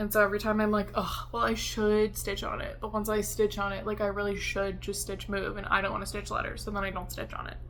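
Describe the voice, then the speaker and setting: In a room with audible echo, a woman with an American accent talks at a fairly quick pace. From US East Coast, Washington DC. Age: 20s. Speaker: cross-stitch video creator. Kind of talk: casual chat. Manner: casual with many fillers.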